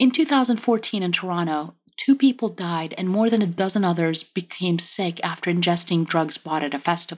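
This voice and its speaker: A woman at a fairly quick pace with lively intonation, on a very clean recording with a silent background. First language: French. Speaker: podcast co-host. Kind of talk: history podcast narration.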